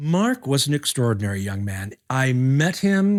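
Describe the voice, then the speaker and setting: A man with a plain, everyday voice speaks at a medium pitch on a very clean recording with a silent background. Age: 60s. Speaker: puppeteer. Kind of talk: documentary interview.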